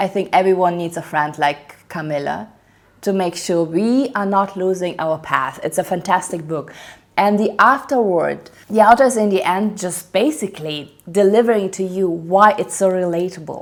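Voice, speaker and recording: At a moderate pace, a woman with a non-native accent speaks at medium pitch with ordinary pitch variation. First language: not English. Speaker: book reviewer. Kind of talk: casual book review monologue. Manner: animated.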